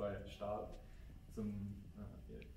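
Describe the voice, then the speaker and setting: A man talks with audible room echo and noticeable background noise behind him. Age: 20s. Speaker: apprentice electrician. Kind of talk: interview testimony.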